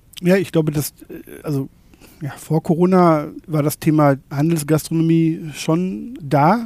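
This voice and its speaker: A man at a fairly high pitch with ordinary pitch variation, at a fairly slow pace broken by long, frequent pauses. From Germany, North Rhine-Westphalia. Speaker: shopfitting company manager. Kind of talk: interview.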